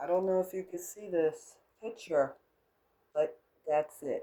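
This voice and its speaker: Ordinary pitch variation comes with a dark, mellow tone. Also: woman. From United States. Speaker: crafts vlogger. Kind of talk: casual tutorial. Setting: home kitchenette. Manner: unscripted, chatty.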